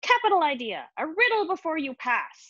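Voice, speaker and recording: A woman puts on a cackling character voice pitched extremely high. Her pitch swings very widely at a moderate pace. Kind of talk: playful, sinister.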